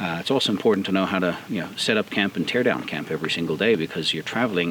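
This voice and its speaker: The speech runs at a very fast pace with ordinary pitch variation, and noticeable background noise sits behind it. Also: man. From South Africa. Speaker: off-road vehicle builder. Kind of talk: outdoor interview. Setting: outdoors. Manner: hesitant, many fillers.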